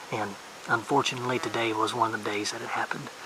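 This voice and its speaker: Over noticeable background noise, a soft-spoken man talks at a fairly quick pace. His intonation is monotone and flat. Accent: Southern US. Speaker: hunting vlogger. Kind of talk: casual vlog narration. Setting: outdoors in the woods. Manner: soft-spoken, keeping voice down.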